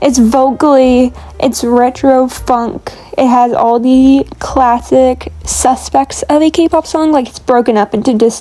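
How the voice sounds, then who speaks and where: Over noticeable background noise, a woman talks at a very slow pace in a high pitch. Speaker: lifestyle vlogger. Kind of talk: casual chat. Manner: animated.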